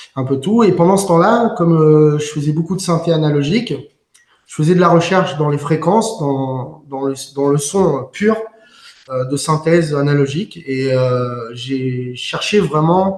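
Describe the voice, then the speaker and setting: A man with a fairly high pitch speaks fairly slowly, his pitch varying in an ordinary way. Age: 50s. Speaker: musician and composer. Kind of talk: interview. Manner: hesitant, many fillers.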